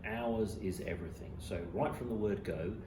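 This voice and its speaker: Speaking at a moderate pace with an English accent, a man is heard amid noticeable background noise and audible room echo. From England. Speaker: commercial airline pilot. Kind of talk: interview. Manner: hesitant, many fillers.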